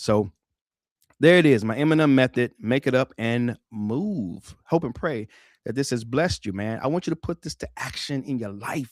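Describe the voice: Recorded very cleanly with a silent background and a dry, close sound free of echo, a man speaks at a moderate pace and medium pitch with lively intonation.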